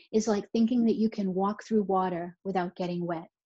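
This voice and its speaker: Against a quiet background, a woman with a Boston accent speaks at a medium pitch in a dark, mellow, somewhat breathy tone, her intonation fairly even and the sound dry and close with no echo. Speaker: neonatal nurse practitioner, speaker. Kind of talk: recorded conference talk. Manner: conversational, with repetitions.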